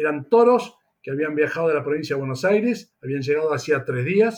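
A man's voice with very wide pitch swings. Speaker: veterinarian. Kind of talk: interview.

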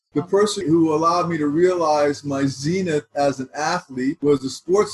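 A somewhat breathy man with an American accent and ordinary pitch variation. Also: dry, close sound with no echo. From Texas. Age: 60s. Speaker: wealth management advisor. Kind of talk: panel discussion.

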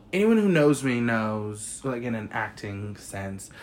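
Audible room echo surrounds the man as he speaks. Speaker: podcast co-host. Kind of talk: casual chat. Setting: studio. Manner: animated.

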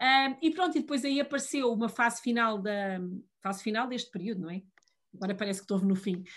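Against a quiet background, a woman talks very fast at a fairly high pitch, somewhat breathy, with lively intonation. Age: 40s. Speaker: digital policy official. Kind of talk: interview.

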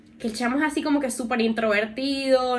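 In a monotone, flat intonation, a woman talks at a high pitch over noticeable background noise. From Venezuela. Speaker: podcast co-host. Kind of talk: casual chat.

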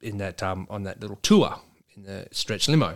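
This man's voice sits fairly low in pitch. His pitch varies in an ordinary way. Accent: Australian. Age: 40s. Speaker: trucking business owner. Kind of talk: casual chat.

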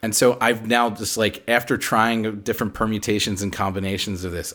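A man has a normal speaking voice with fairly even intonation. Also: very clean recording, silent background. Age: 40s. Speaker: commercial director. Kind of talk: casual chat.

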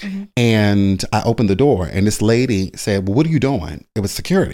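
A man with an American accent and an ordinary speaking voice, fairly low in pitch, at a moderate pace with lively intonation, on a very clean recording with a silent background. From Baltimore, Maryland. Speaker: brow artist, beauty entrepreneur. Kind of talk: casual interview, storytelling.

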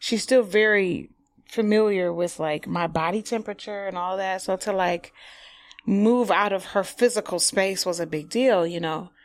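In a plain, everyday voice with an American accent, the speaker keeps a moderate pace and ordinary pitch variation on a very clean recording with a silent background. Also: woman, medium pitch for a woman. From Detroit, Highland Park. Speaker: stage actress and drama educator. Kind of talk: podcast interview. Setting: studio.

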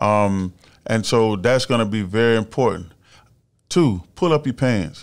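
A man with an American accent speaks at a fairly slow pace in an unremarkable speaking voice, medium in pitch and very even in loudness, on a very clean recording with a silent background. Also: lively intonation. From Melbourne, Florida. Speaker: former college football player and actor. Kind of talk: casual interview.

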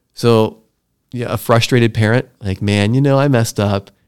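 Here a man talks in a plain, everyday voice at a moderate pace. His pitch is medium with ordinary variation, on a very clean recording with a silent background. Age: 40s. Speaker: podcast host. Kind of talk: casual chat.

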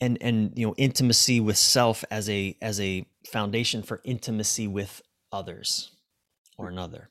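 The recording is very clean, with a silent background and a dry, close sound with no echo. A man talks at a medium pitch and a moderate pace. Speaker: relationship coach and author. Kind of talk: casual interview conversation. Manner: animated, profane, halting.

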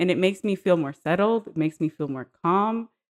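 Pitch swings very widely at a moderate pace, with a dry, close sound free of echo on a very clean recording with a silent background. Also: woman. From Guyana. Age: 20s. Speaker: podcast guest. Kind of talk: casual chat.

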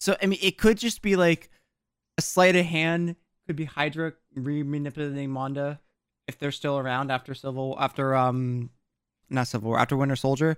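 A man with a New Jersey accent talks at a fairly quick pace with long, frequent pauses, his fairly high voice showing ordinary pitch variation in a dry, close sound with no echo. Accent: New Jersey American. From South Jersey, US. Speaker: podcast co-host. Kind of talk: casual chat. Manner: animated.

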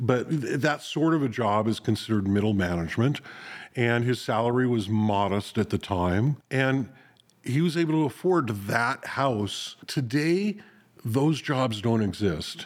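Against a silent background in a very clean recording, a man with an American accent uses an ordinary speaking voice at medium pitch, talking at a fairly slow pace with lively intonation and very even loudness. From US West, North Hollywood, California. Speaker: podcast host. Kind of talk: casual chat. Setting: studio.

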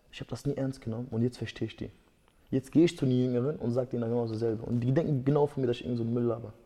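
At a very fast pace, a man of medium pitch speaks with a dark, mellow tone. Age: 20s. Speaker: MMA fighter. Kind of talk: casual chat.

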